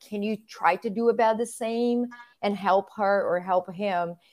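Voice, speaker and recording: On a very clean recording with a silent background, a woman with a Portuguese accent speaks at a moderate pace, with medium pitch and fairly even intonation. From southern Brazil. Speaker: physical therapist. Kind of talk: casual interview.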